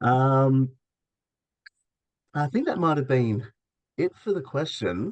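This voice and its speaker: A man talks at a very slow pace with long, frequent pauses. His intonation is lively. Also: medium pitch for a man. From Australia. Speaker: broker representative. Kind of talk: live webinar Q&A. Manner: halting, many fillers.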